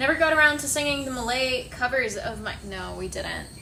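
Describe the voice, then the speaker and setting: Background noise is noticeable here. Room echo can be heard as well. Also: woman. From Hungary. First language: Hungarian. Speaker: streamer and singer. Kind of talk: casual live stream chat.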